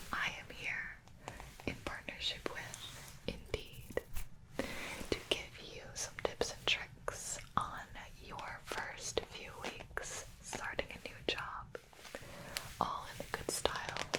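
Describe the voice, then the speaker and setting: A woman whispers at a very slow pace, with big swings in loudness. Noticeable background noise runs underneath. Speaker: ASMR creator. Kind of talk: ASMR advice talk. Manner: soft, relaxing.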